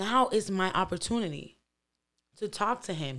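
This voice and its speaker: The recording is very clean, with a silent background. A woman uses lively intonation at a moderate pace. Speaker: podcast host. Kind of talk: casual podcast commentary.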